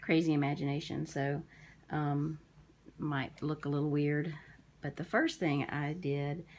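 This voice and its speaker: Mumbling at a fairly slow pace, a woman speaks with a very deep, low pitch and monotone, flat intonation. Long, frequent pauses break up her speech on a very clean recording with a silent background. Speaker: crafter. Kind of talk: casual talk to camera.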